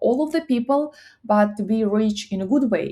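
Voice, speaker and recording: A woman with a Russian accent, fairly high-pitched, dark and mellow in tone, with ordinary pitch variation at a moderate pace, on a very clean recording with a silent background. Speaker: psychology content creator. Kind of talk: casual talk to camera. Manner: halting.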